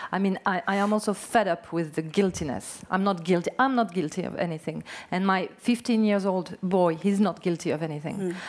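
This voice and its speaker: With a French accent, a woman speaks at a fairly quick pace and medium pitch, with ordinary pitch variation and hardly any pauses. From French Basque Country. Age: 40s. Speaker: novelist. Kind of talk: on-stage interview.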